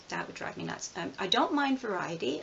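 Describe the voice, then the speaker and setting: A woman speaks at a moderate pace, with noticeable background noise around her. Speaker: tarot reader and video blogger. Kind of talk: casual tag video monologue. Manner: hesitant, many fillers and repetitions.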